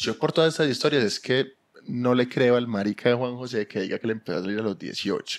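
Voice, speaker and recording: With a medium pitch and ordinary pitch variation, a man speaks at a fairly quick pace. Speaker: podcast co-host. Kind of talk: casual chat.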